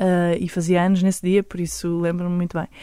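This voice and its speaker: A woman's normal speaking voice at medium pitch and a fairly quick pace. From Lisbon area, Portugal. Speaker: singer-songwriter. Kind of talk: interview.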